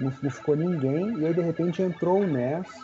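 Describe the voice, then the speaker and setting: A man's lively intonation and fairly quick pace come through amid noticeable background noise. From Minas Gerais, Brazil (Belo Horizonte). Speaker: retro video game collector. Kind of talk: casual chat.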